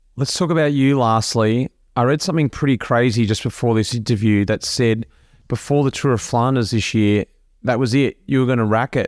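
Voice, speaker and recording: With an Australian accent, a man speaks at a fairly quick pace in a medium pitch, showing ordinary pitch variation and very even loudness. The sound is dry and close with no echo, on a very clean recording with a silent background. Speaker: podcast host, former pro cyclist. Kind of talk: casual interview chat.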